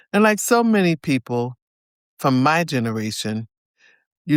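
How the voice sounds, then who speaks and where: A woman with an American accent speaks in a very deep, low voice at a fairly slow pace, her pitch swinging very widely between long, frequent pauses, on a very clean recording with a silent background and a dry, close sound with no echo. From US Northeast, New Jersey. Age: 60s. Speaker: storyteller sharing life story. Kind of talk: personal testimony.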